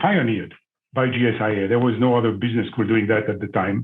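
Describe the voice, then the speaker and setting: A man talks at a fairly quick pace with a French accent. His pitch variation is ordinary. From France. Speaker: business school alumnus, former executive. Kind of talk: panel discussion.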